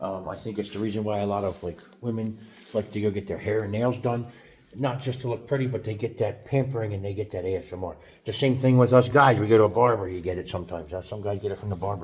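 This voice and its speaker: A man with an American accent talks at a very fast pace, somewhat breathy, with ordinary pitch variation. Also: fairly low pitch for a man. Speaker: YouTuber. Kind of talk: casual monologue vlog. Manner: halting, many fillers and restarts.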